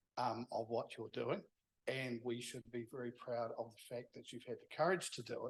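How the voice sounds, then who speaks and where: Speaking in a New Zealand accent, a man talks at a moderate pace with a medium pitch. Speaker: event organiser. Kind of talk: closing remarks.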